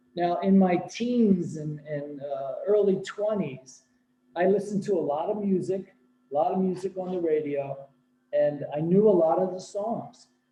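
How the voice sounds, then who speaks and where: A man speaks with a high pitch and ordinary pitch variation. His pace is moderate. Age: 60s. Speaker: senior spiritual devotee. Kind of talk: spiritual talk. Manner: animated.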